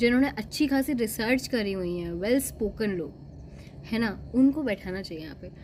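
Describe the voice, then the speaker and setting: Somewhat breathy, a woman speaks with a fairly high pitch. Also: lively intonation, big swings in loudness. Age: 20s. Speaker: vlogger. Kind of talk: casual opinion monologue. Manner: animated.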